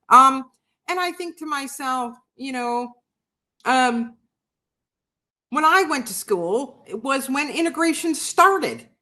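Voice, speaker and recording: A woman with a New York accent uses a raised, projected voice, high in pitch, with a bright, sharp tone and lively intonation. She goes at a very slow pace with long, frequent pauses and big swings in loudness. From New York City. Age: 60s. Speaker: livestream host and writer. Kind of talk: casual chat. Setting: live video stream. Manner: animated.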